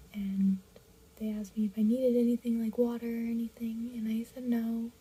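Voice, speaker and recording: A woman speaks quietly in a flat monotone at a fairly high pitch. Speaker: radiation therapy patient. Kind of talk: personal vlog talk to camera.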